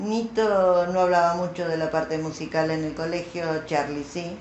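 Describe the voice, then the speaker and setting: A woman speaks at a very slow pace, with a fairly low pitch and a Rioplatense accent. Room echo is audible. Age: 70s. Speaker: former schoolmate interviewee. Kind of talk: interview.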